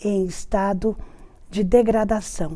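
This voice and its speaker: With audible room echo, a woman speaks at a very slow pace in a medium pitch, her tone dark and mellow and her intonation monotone and flat. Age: 60s. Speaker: retired teacher, prison ministry coordinator. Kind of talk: interview testimony.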